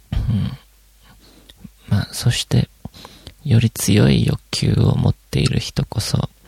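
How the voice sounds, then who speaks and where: In a relaxed tone with very wide pitch swings, a man talks at a fairly slow pace, the sound dry and close with no echo, over noticeable background noise. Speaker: podcast host. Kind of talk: solo casual monologue. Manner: relaxed, many fillers.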